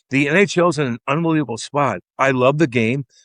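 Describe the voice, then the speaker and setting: In a Midwestern American accent, a man with a fairly high pitch talks at a moderate pace in an animated tone, the sound dry and close with no echo over a quiet background. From Missouri, US Midwest. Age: 40s. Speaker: former hockey player and podcaster. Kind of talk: interview.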